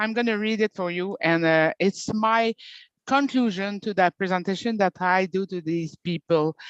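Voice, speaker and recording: A woman with a Quebec French accent talks at a medium pitch and a moderate pace, with ordinary pitch variation. The sound is dry and close with no echo, over a quiet background. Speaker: participant. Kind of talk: casual chat. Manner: halting.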